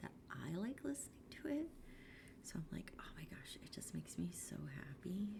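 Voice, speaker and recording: The whispering proceeds at a moderate pace. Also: woman. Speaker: art streamer. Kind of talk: casual livestream chat. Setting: livestream from home room. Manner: soft-spoken. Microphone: quiet, gain low, noise suppression off.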